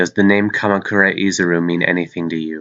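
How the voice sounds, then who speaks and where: A man in a put-on character voice talks very fast at a very deep, low pitch. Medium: read story. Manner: flat, emotionless.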